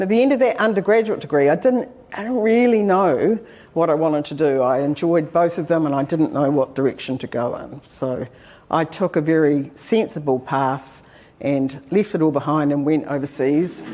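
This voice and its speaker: In a New Zealand accent, a woman speaks at a moderate pace with a very deep, low pitch and a dark, mellow tone. Her intonation is lively, and the recording is very clean with a silent background. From New Zealand, Taranaki. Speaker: professor. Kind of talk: lecture. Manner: hesitant with frequent fillers.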